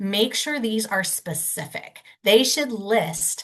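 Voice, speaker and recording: This woman has a normal speaking voice, fairly high in pitch, with lively intonation. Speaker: legal clinic presenter on commercial leases. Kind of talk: webinar presentation. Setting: webinar. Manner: casual, many fillers.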